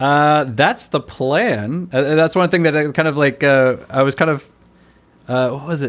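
This is an ordinary speaking voice. The pace is fairly slow, with ordinary pitch variation. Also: man, fairly high pitch for a man. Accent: American. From United States. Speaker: cram school English teacher. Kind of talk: casual interview conversation.

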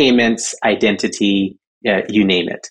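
A man talks in a plain, everyday voice at a fairly low pitch. His intonation is fairly even and his pace is fairly slow. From Southern California (born in Jamaica). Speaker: crypto organization executive director. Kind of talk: interview.

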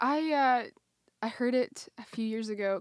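With a Canadian accent, a woman speaks in a normal speaking voice at a fairly slow pace, her pitch varying in an ordinary way. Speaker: podcast co-host. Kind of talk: casual chat.

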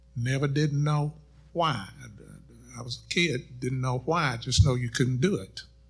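In an American accent, a man speaks at a fairly slow pace with long, frequent pauses. His voice is medium-pitched and somewhat breathy, with ordinary pitch variation. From Middle Tennessee, US South (College Grove). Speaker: pastor. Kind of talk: panel discussion.

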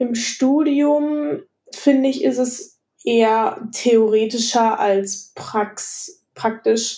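A woman speaks very slowly at a fairly high pitch, her dark, mellow tone carrying ordinary pitch variation. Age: 20s. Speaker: architecture student. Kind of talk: casual interview.

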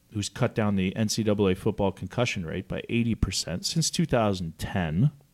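Heard on a very clean recording with a silent background, a man with a Canadian accent uses an unremarkable speaking voice at a fairly low pitch with ordinary pitch variation. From Canada. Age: 30s. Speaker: former pro hockey player, foundation founder. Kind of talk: interview.

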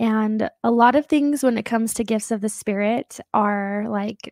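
A woman uses an ordinary speaking voice with a fairly high pitch and fairly even intonation. The recording is very clean, with a silent background. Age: 20s. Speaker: psychic medium. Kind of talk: casual interview chat; psychic reading.

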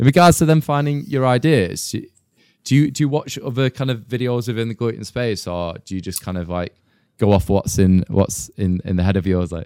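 A man with a Mancunian accent speaks at a medium pitch in a dark, mellow tone with lively intonation, the recording very clean and the background silent, the sound dry and close with no echo. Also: fairly quick pace. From Manchester, England. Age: 30s. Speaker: podcast host. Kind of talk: casual interview.

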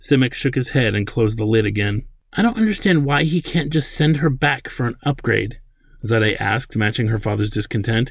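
The speaker is a man with vocal fry. He talks at a fairly quick pace. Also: medium pitch for a man, ordinary pitch variation. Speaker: author and podcaster. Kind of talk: literary audiobook reading of a sci-fi novel chapter; casual commentary. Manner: measured, expressive narration, doing character dialogue; conversational, filler-heavy, halting.

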